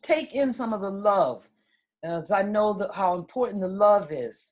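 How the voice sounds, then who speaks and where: At a fairly slow pace, a woman of medium pitch speaks with lively intonation in an ordinary speaking voice. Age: 60s. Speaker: wellness center owner. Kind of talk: casual talk at online conference.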